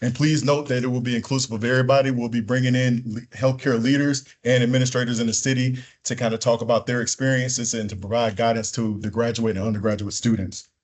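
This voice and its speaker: Barely pausing, a man rushes along at a very fast pace in a monotone, flat intonation. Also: medium pitch for a man. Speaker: student association president. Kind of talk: orientation speech. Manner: loud, projecting.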